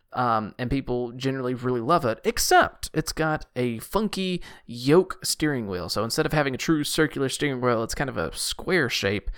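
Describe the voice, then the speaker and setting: Against a silent background on a very clean recording, a man with an unremarkable speaking voice talks at a moderate pace with lively intonation. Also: medium pitch for a man. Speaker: podcast co-host. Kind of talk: casual chat.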